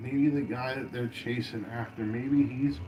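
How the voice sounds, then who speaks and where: Speaking with fairly even intonation at a medium pitch, a man is heard with audible room echo. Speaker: cartoon reaction livestreamer. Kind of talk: reaction livestream commentary. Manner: loud.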